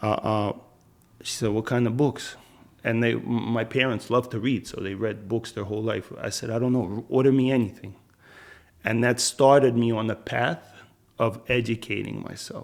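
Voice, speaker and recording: A man speaks at a medium pitch and a moderate pace, with fairly even intonation. He has an unremarkable speaking voice. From Philadelphia, US (moved from Minsk, Belarus at 9). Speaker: former prisoner turned real estate investor. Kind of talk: interview conversation.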